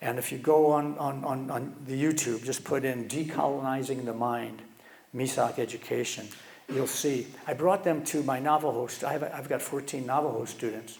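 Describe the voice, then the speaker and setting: There is audible room echo as a man speaks at a moderate pace. His medium-pitched voice keeps a fairly even intonation. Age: 70s. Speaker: guest speaker, educator. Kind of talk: conference talk. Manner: halting, many repeated words.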